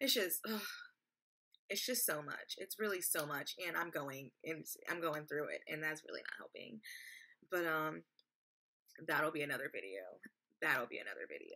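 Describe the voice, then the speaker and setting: A woman with an American accent at a moderate pace, with long, frequent pauses against a quiet background. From Texas. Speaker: vlogger. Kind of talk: personal vlog testimony. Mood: earnest, somewhat frustrated. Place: home room. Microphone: webcam.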